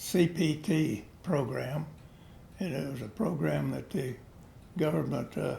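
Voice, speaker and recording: This voice has a dark, mellow tone with vocal fry and lively intonation, moving at a fairly slow pace with long, frequent pauses. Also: man. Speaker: WWII veteran pilot. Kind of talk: interview answer. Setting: home recording, background noise.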